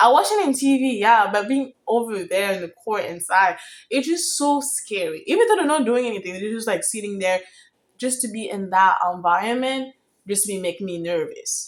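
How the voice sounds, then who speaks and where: An animated woman with a fairly high pitch, lively intonation and a moderate pace. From outside the US, foreign country. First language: not English. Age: young. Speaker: vlogger. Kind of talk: casual storytime vlog.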